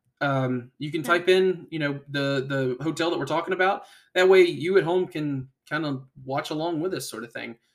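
This man speaks with a fairly high pitch at a moderate pace. It is an ordinary speaking voice. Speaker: podcast host. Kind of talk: casual chat with a scripted tour-guide style. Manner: informal, rambling, jokey; measured, walkthrough-style guiding.

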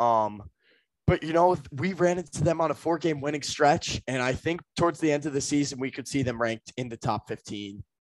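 A man with a fairly high pitch and a normal speaking voice talks at a fairly quick pace with ordinary pitch variation, recorded with a dry, close sound with no echo against a quiet background. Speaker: podcast co-host. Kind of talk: casual sports podcast chat.

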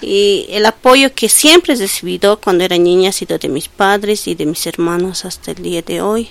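With hardly any pauses, an unremarkable speaking voice keeps a moderate pace and ordinary pitch variation. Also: woman, medium pitch for a woman. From Bolivia, El Alto. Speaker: social worker with children. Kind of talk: interview.

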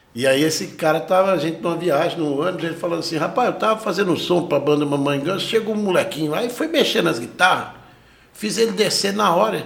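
A man with a high pitch and ordinary pitch variation speaks at a very fast pace. Noticeable background noise and audible room echo come through. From Brazil, raised in Franca, São Paulo interior (born Goiânia). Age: 40s. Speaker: guitarist and music teacher. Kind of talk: casual interview chat.

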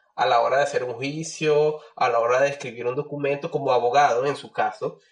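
A man with a fairly high pitch speaks at a moderate pace in a somewhat breathy voice. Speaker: biologist, doctoral candidate. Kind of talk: casual chat.

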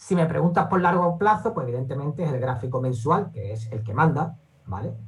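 Audible room echo hangs around a man's voice. He sounds somewhat breathy. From Andalusia, Seville (Spain). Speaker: investor and trading educator. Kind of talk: interview.

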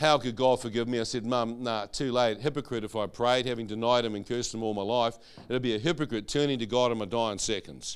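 A man's very fast, animated delivery with hardly any pauses, on a very clean recording over a silent background. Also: medium pitch for a man. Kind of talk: testimony.

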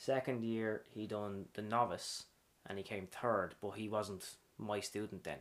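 A man's fairly low voice in an Irish accent at a fairly slow pace. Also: fairly even intonation. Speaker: dance teacher. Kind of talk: casual interview chat.

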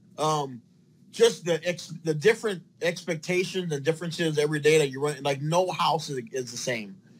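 A normal speaking voice at a moderate pace with ordinary pitch variation. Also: man, fairly high pitch for a man. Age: 40s. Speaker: plumber. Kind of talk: interview.

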